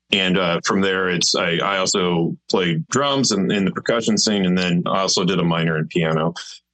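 A man with a fairly low voice, using a normal speaking voice, keeps a moderate pace and ordinary pitch variation. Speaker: drummer and orchestrator in band. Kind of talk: casual interview chat.

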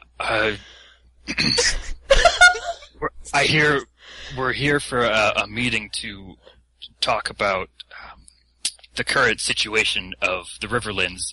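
A raspy, put-on character voice sits at a low-to-middle pitch. It moves at a fairly slow pace with long, frequent pauses.

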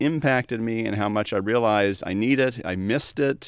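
A man with an unremarkable speaking voice speaks at a moderate pace with lively intonation, recorded dry and close with no echo against a very clean, silent background. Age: 40s. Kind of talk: casual chat.

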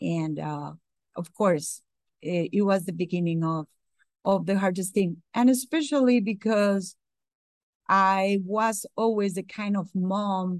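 A woman with a Spanish accent speaks at a very slow pace. She leaves long, frequent pauses. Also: medium pitch for a woman, ordinary pitch variation, quiet background. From Costa Rica. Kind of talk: interview testimony. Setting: remote call.

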